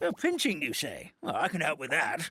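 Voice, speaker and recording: A man puts on a character voice at a moderate pace. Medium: video game. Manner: hesitant, polite, many filler pauses.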